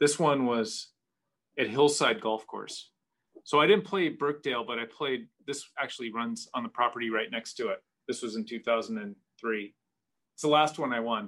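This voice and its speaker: Here is an unremarkable speaking voice from a man, medium in pitch. He talks at a moderate pace with lively intonation. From US Pacific Northwest, Seattle area. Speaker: golf travel advisor. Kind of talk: casual chat.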